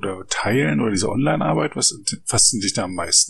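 A man with an ordinary speaking voice and fairly low pitch talks with lively intonation. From East Germany. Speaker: podcast host, Wikipedia volunteer. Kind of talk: interview.

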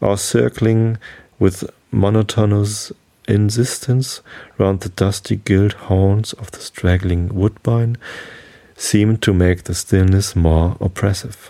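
Soft-spoken and dark, mellow in tone, a man speaks at a fairly low pitch and a very slow pace. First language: German. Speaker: podcast host. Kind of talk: reading aloud.

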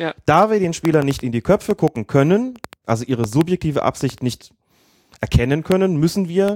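Recorded dry and close with no echo, a man talks at a moderate pace with lively intonation. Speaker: football referee and podcast co-host. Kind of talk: casual chat.

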